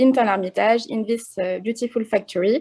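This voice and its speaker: With a strong French accent, a woman speaks at a fairly high pitch in a dark, mellow tone, the sound dry and close with no echo. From France. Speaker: chocolate company marketing manager. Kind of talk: online presentation. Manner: hesitant, many fillers.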